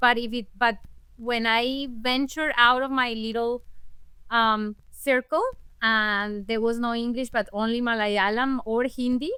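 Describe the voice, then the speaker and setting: A woman with a Spanish accent talks at a fairly slow pace in a bright, sharp tone, her fairly high pitch held to fairly even intonation. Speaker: language access advocate and interpreter. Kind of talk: interview conversation. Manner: halting with self-corrections.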